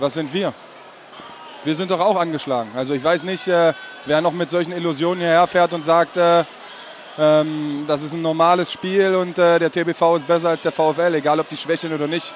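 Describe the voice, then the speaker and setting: Noticeable background noise runs under the recording. A man with a high pitch speaks at a moderate pace with fairly even intonation. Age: 30s. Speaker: handball player. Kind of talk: post-match interview. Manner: halting.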